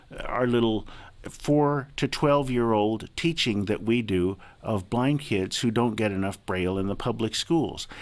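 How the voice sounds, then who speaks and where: A man with medium pitch talks at a fairly slow pace with ordinary pitch variation. His is an ordinary speaking voice. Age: 60s. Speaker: advocate for the blind, blind Braille user. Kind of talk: radio interview.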